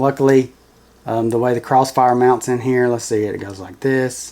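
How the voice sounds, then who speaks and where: A man is speaking at a moderate pace. His voice sits at a medium pitch. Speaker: FPV drone hobbyist YouTuber. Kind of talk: build tutorial. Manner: monotone.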